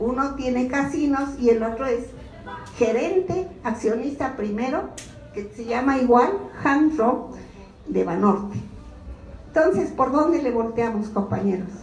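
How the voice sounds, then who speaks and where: Over noticeable background noise and audible room echo, a woman with a high voice talks in an animated tone at a fairly slow pace, leaving long, frequent pauses. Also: lively intonation. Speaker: social security activist. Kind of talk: informational talk to a meeting.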